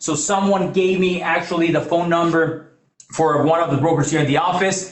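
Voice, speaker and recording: Audible room echo surrounds a man speaking with a Mexican accent at a moderate pace. His pitch is high and his intonation fairly even. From Mexico. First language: Spanish. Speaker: financial services presenter. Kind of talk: business presentation. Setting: in-person meeting also streamed on video call.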